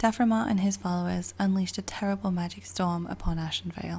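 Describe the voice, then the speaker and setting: A woman whispers with a British accent. Her pace is fairly quick. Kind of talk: book reading. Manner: whispered.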